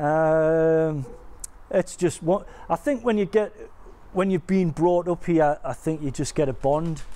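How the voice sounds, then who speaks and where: With a County Durham accent, a man speaks fairly slowly in a high voice with a dark, mellow tone. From Stanley, County Durham. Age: 50s. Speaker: local resident. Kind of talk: documentary interview.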